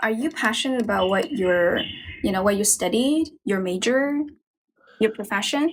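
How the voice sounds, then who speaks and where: A woman's fairly high voice with lively intonation and very even loudness, at a moderate pace with long, frequent pauses. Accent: Chinese. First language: Chinese. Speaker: livestream host for English practice. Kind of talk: casual chat.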